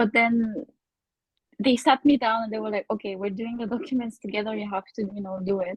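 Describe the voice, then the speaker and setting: Fairly quick, somewhat breathy speech in a Bulgarian accent, with fairly even intonation. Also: woman, fairly high pitch for a woman. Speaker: podcast guest, former student in Korea. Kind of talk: casual chat.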